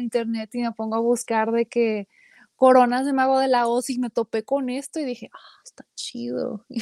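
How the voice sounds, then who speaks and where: A woman talks at a moderate pace in a high pitch, her intonation monotone and flat. The sound is dry and close, with no echo. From Mexican-American, raised bilingual. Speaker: singer-songwriter. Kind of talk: casual interview chat.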